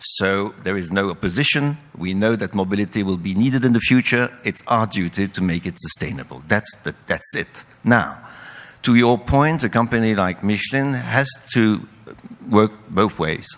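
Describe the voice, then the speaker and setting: A man with a fairly low voice talks at a moderate rate, his pitch varying in an ordinary way. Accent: French. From France. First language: French. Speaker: company CEO. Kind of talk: panel discussion.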